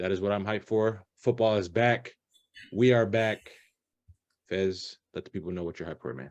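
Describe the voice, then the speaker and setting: At a moderate pace, a man with a fairly low voice and ordinary pitch variation speaks with big swings in loudness and long, frequent pauses. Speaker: podcast host. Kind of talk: casual chat. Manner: animated.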